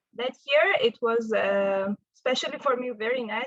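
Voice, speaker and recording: A woman with an Armenian accent and a fairly high voice, ordinary pitch variation, in a dry, close recording with no echo. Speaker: physicist, postdoctoral researcher. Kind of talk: invited talk. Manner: halting, with fillers.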